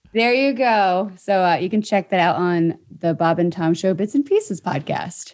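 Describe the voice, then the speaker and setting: A woman with a plain, everyday voice speaks at a moderate pace and medium pitch, with ordinary pitch variation, very even loudness and hardly any pauses. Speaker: radio show producer and podcast announcer. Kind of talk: casual chat.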